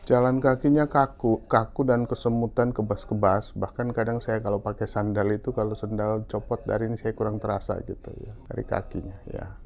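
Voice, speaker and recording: A medium-pitched man keeps a fairly quick pace with fairly even intonation and hardly any pauses. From Maluku, eastern Indonesia. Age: 60s. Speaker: patient. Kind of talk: testimony. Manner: hesitant, with fillers.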